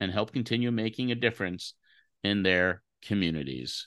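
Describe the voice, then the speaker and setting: Ordinary pitch variation colors the man's delivery, given in an ordinary speaking voice. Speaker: podcast co-host. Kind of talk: casual interview banter.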